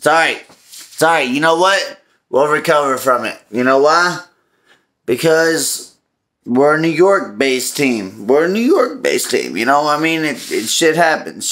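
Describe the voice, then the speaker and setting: A man's bright, sharp tone at a fairly slow pace. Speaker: sports fan vlogger. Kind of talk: casual vlog chat. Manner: slurred, drowsy drunken consoling. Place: kitchen. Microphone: phone near.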